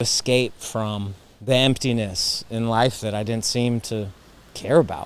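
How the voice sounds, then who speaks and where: Here a man speaks in an unremarkable speaking voice. His pitch is medium and his intonation fairly even. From US East Coast. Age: 30s. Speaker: cancer survivor sharing faith story. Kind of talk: testimony.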